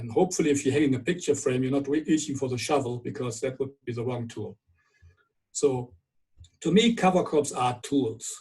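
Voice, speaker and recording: In a German accent, a man speaks at a fairly quick pace, somewhat breathy and fairly high in pitch. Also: ordinary pitch variation. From Germany. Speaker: viticulture scientist. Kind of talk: webinar lecture. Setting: online webinar.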